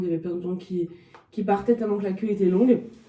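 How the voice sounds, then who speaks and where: A woman's medium-pitched voice against noticeable background noise. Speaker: dog trainer and behaviourist vlogger. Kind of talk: casual vlog talk to camera. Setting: at her stand at a dog show. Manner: hesitant, many filler sounds.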